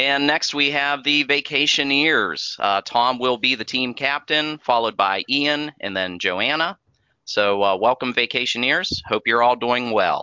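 This man has a plain, everyday voice at a medium pitch for a man. He talks at a fairly slow pace with ordinary pitch variation. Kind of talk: game show host, running a theme park Family Feud.

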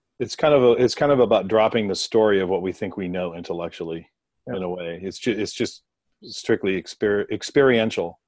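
Speaking in a plain, everyday voice, a man with a fairly low pitch moves at a fairly quick pace with ordinary pitch variation against a quiet background. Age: 50s. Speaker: meditation meetup participant. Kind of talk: casual group discussion.

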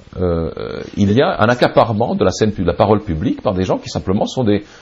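Fairly low in pitch, a man speaks at a fairly slow pace with lively intonation in a plain, everyday voice. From Serbia. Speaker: writer and publisher. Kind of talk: interview.

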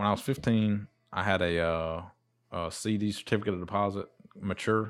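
An ordinary speaking voice from a man with an American accent, fairly low in pitch, fairly quick, with fairly even intonation, on a very clean recording with a silent background. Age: 30s. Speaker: small business owner. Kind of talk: casual chat.

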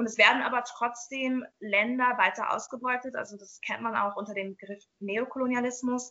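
A woman with a high pitch, fairly even intonation and big swings in loudness, at a moderate pace with hardly any pauses. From Jamaica. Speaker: nutrition educator and social worker. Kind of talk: casual interview.

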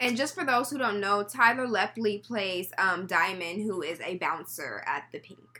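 Over noticeable background noise, a woman talks at a moderate pace with hardly any pauses, lively intonation and big swings in loudness. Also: medium pitch for a woman. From Texas, Houston. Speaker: podcast co-host. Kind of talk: casual chat.

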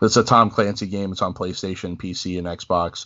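At a moderate pace, a man talks in a plain, everyday voice pitched fairly low. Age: 30s. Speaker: wrestling podcast host. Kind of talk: casual chat.

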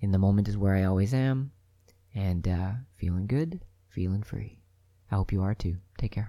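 Here a man speaks at a fairly low pitch with a dark, mellow tone. He leaves long, frequent pauses. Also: ordinary pitch variation. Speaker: podcast host, spiritual speaker. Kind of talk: solo monologue talk. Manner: fast, rambling.

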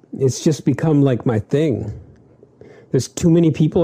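A man's somewhat breathy voice with a dark, mellow tone, ordinary pitch variation and a moderate pace. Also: very even loudness. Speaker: podcast co-host. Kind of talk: casual chat.

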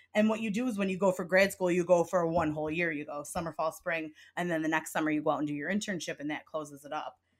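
A woman with a Midwestern accent talks at a very fast pace with hardly any pauses. Her pitch is fairly low, with ordinary variation. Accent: sounds Midwestern. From upstate New York. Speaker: podcast host. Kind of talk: casual chat.

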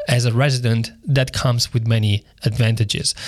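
A man talks quickly, fairly so, his voice somewhat breathy and his pitch varying in an ordinary way. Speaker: attorney. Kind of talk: casual chat. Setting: remote call.

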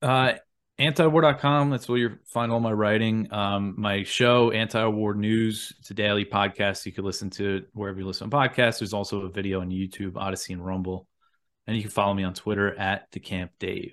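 A man with an American accent speaks in a plain, everyday voice at a fairly quick pace. His pitch is fairly low, with ordinary variation. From US Northeast, Long Island, New York. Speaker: journalist and news podcast host. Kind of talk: casual interview chat.

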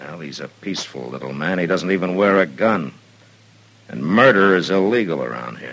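In a put-on character voice, a man speaks at a very deep, low pitch and moderate pace, raspy and calm in tone, with lively intonation. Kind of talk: 1950s radio western acting. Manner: calm, firm, laconic.

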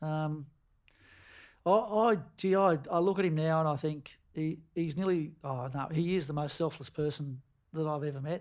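The recording is very clean, with a silent background. A man speaks in an Australian accent. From Tasmania, Queenstown on the west coast. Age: 50s. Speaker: football coach. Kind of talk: casual interview.

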